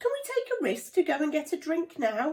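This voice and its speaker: A woman's squeaky, put-on character voice, extremely high-pitched, with very wide pitch swings at a fairly quick pace. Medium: read story. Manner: excited, relieved.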